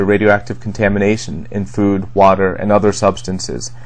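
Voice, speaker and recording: Noticeable background noise runs under speech delivered at a fairly brisk pace. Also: man. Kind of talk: commentary on news to camera.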